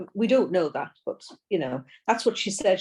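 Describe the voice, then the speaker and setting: A woman speaks in a dark, mellow tone with a British accent. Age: 60s. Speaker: person with multiple sclerosis. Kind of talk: podcast interview. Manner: halting.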